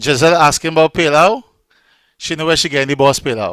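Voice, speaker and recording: With a strong Trinidadian accent, a man speaks in a bright, sharp tone with a dry, close sound and no echo. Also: very clean recording, silent background. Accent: Trinidadian, still strong. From Trinidad and Tobago. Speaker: online event host and radio DJ. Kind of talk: casual live-stream hosting.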